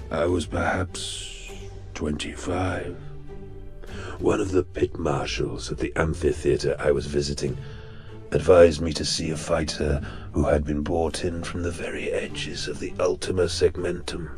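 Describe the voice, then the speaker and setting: In a put-on character voice, a man speaks at a very deep, low pitch with clear music in the background. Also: moderate pace. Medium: audio drama. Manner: cultured, sardonic, savoring.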